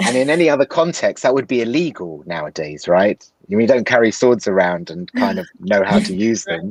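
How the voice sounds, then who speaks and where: A man with a London accent, vocal fry and very wide pitch swings, at a fairly quick pace with hardly any pauses. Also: medium pitch for a man. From London, England. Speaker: actor. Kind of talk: interview answer.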